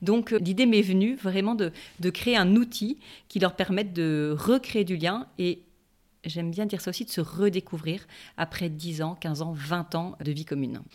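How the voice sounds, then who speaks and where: In a normal speaking voice, a woman talks at a fairly slow pace and medium pitch with ordinary pitch variation, on a very clean recording with a silent background. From southern France (Toulon). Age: 40s. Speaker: relationship coach. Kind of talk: interview.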